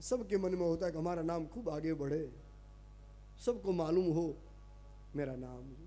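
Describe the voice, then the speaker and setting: A man's fairly high-pitched voice in a Gujarati accent, with ordinary pitch variation, long, frequent pauses and music in the background. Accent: Gujarati-accented Hindi. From Kutch, Gujarat, India. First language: Gujarati (speaking Hindi). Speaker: religious storyteller. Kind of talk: religious discourse.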